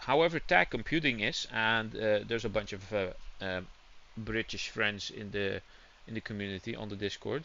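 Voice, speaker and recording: At a moderate pace, a man talks in a fairly low pitch with lively intonation. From Netherlands. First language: Dutch. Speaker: gaming streamer. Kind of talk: casual live-stream chat. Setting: home room with windows open, hot.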